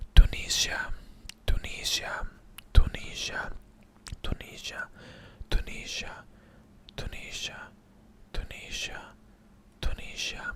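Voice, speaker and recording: A man whispers at a fairly slow pace with long, frequent pauses over noticeable background noise. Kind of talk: ASMR whispering video. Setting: low-quality microphone. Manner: whispered.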